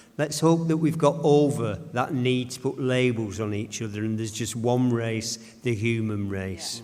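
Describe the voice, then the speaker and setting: A man speaks at a moderate pace with a medium pitch and ordinary pitch variation. Room echo is audible. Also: hardly any pauses. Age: 70s. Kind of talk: panel discussion.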